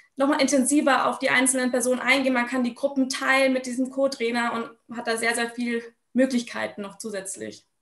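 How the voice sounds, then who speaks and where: Speaking at a high pitch and a fairly quick pace, a woman keeps a monotone, flat intonation. The background is quiet, though room echo is audible. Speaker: sports education officer; guest. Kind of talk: online panel discussion; panel discussion answer. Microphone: video call.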